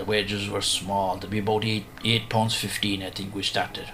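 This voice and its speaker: A man's fairly low voice in an Irish accent, monotone and flat, with music in the background. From Ireland. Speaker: storyteller. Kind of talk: radio interview recollection.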